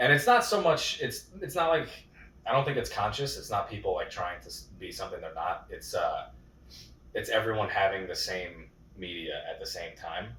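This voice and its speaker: Loudness swings widely in this recording, which carries audible room echo. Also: man, moderate pace. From New York, Yonkers. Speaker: comedian and podcast host. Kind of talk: casual chat.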